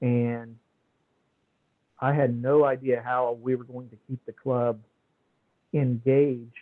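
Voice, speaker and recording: Speaking at a very slow pace with long, frequent pauses, a man keeps a medium pitch and monotone, flat intonation. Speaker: past club president. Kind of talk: talk to trainees.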